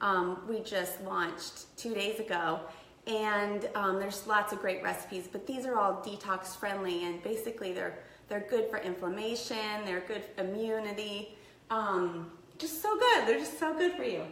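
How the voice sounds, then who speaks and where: There is noticeable background noise and audible room echo as a woman speaks at a moderate pace. Her pitch is medium, with ordinary variation. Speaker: health and detox coach. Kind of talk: live cooking tutorial. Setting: live video in her kitchen. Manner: casual, chatty.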